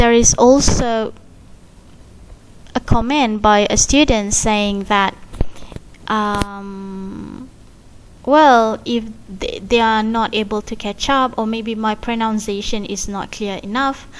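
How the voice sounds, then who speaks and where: The delivery is very slow, with fairly even intonation and long, frequent pauses. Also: woman, fairly high pitch for a woman. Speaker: university lecturer. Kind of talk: recorded lecture. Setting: recorded online lecture. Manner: clear, careful enunciation.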